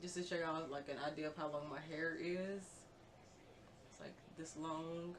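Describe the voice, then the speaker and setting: Over noticeable background noise and audible room echo, a woman with a fairly low pitch talks in a flat monotone, pausing long and often. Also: moderate pace. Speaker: beauty vlogger. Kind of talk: tutorial. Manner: casual, filler-heavy; quiet, low volume.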